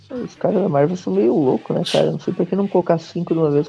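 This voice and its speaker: A man is talking at a fairly quick clip. Background music runs beneath his words. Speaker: comic book podcast host. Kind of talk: casual chat.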